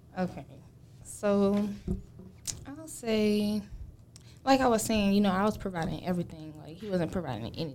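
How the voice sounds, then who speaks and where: Dark, mellow tone with lively intonation, long and frequent pauses, big swings in loudness, and audible room echo. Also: woman, medium pitch for a woman, moderate pace. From US South, Gainesville, Georgia. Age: 20s. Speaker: podcast guest. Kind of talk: casual chat.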